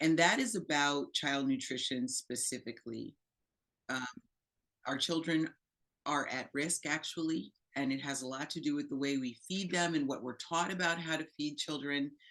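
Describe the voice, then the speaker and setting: The pitch varies in an ordinary way as the talking moves along at a moderate pace. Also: woman, very deep, low pitch for a woman. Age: 60s. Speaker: plant-based nutrition presenter, medical professional. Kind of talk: educational presentation. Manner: conversational with fillers.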